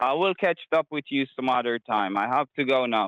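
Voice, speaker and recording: A man with a Jamaican accent speaks with lively intonation. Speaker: scammer. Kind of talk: interview.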